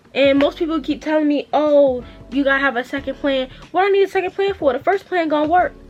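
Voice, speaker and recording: A woman's high-pitched, very fast speech with ordinary pitch variation over background music. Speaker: small business owner and vlogger. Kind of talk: casual chat. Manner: stutters when unsure; fast, rambling.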